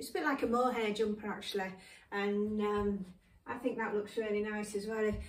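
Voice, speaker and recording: Audible room echo surrounds a woman speaking at a moderate pace with fairly even intonation. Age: 70s. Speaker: fashion vlogger. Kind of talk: casual try-on fashion presentation. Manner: casual with many fillers and hesitations. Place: home room. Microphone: camera far.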